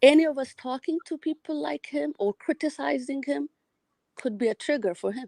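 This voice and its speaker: High-pitched woman's voice with a dark, mellow tone, ordinary pitch variation and a moderate pace, in a dry, close sound with no echo. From Ethiopia. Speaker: caller to a live show. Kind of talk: casual call-in chat.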